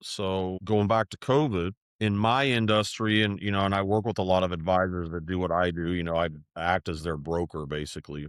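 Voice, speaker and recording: Speaking fairly fast, a man's very deep, low voice moves with ordinary pitch variation. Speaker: financial firm executive. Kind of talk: podcast interview. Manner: conversational, halting.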